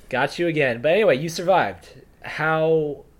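Noticeable background noise sits behind a man's fairly high-pitched voice. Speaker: surf media podcast co-host. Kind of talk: casual podcast banter. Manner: joking, casual.

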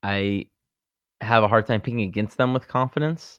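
Intonation stays fairly even. The background is quiet. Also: man. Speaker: sports betting podcast co-host. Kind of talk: casual chat.

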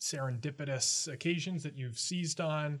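A somewhat breathy man with fairly even intonation. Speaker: student podcast host. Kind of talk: interview.

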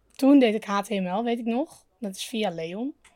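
A woman's dark, mellow voice at a very slow pace, with ordinary pitch variation, in a dry, close sound with no echo. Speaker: podcast co-host. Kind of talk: casual chat. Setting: outdoors.

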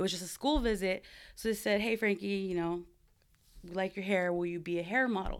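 Speaking with an American accent, a woman has a medium pitch. Her pace is fairly quick, with ordinary pitch variation. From Southern California (Buena Park). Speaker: barber and area coach. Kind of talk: interview storytelling. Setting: in person, Southern California.

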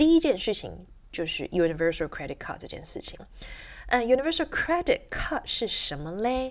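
Animated in tone, a woman talks at a fairly quick pace with big swings in loudness. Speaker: English teacher and podcast host. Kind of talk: solo educational podcast monologue. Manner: animated, with frequent fillers.

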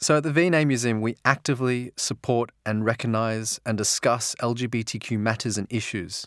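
In a very clean recording with a silent background, a man with an Australian accent talks at a fairly quick pace with ordinary pitch variation. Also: medium pitch for a man, dry, close sound with no echo. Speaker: museum volunteer tour guide. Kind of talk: personal testimony.

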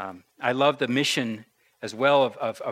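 Quiet surroundings behind a natural reading voice

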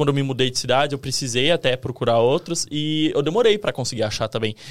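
On a very clean recording with a silent background, a man with an unremarkable speaking voice and fairly high pitch talks at a fairly quick pace. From Brazil, interior of São Paulo state. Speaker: video editor. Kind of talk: casual chat.

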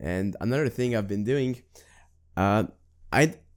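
A man's normal speaking voice at a medium pitch, with lively intonation. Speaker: podcast host. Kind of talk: casual interview chat. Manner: upbeat, playful.

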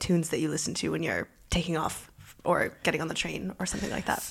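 With a Canadian accent and vocal fry, a woman talks at a very fast pace in a fairly low pitch with fairly even intonation. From Canada, Toronto. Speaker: journalist and podcast host. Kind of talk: interview.

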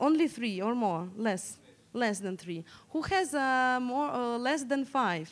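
A woman's high voice with a Russian accent, very wide pitch swings, and a very slow pace. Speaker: digital security researcher. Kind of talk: conference talk. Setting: stage with audience. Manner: interactive.

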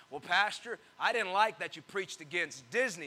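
A man's high, raised and projected voice, animated in tone, at a fairly quick pace. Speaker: pastor. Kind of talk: sermon. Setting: church with congregation. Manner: animated, call-and-response, pausing for amens; teasing, jokey, warm.

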